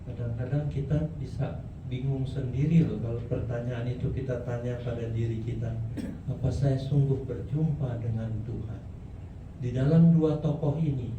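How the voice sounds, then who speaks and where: Here a man speaks in a medium pitch, with audible room echo and noticeable background noise. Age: 70s. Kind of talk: sermon.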